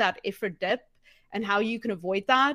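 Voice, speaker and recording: A woman with a slight non-native accent speaks at a fairly high pitch in a bright, sharp tone with fairly even intonation. The recording is very clean, with a silent background. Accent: slight foreign. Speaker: office manager. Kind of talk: interview.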